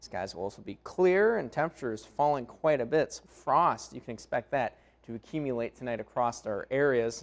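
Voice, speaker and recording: A man speaks at a moderate pace with lively intonation and an American accent, in a normal speaking voice. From Minnesota. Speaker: broadcast meteorologist. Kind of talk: TV weather forecast.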